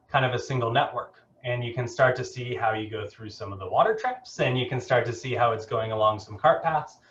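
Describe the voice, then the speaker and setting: Ordinary pitch variation runs through a man's somewhat breathy speech. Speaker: keynote speaker, geospatial technology director. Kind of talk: keynote presentation. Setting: video call. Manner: fast.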